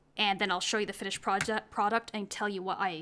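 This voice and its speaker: Soft-spoken and fairly quick, a woman talks at a fairly high pitch. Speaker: hobby painter. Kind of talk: tutorial. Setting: home hobby desk. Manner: halting.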